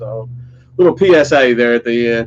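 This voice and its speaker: The speaker has a Southern US accent and fairly even intonation. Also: man. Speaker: metal YouTuber. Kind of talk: casual chat. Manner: articulate.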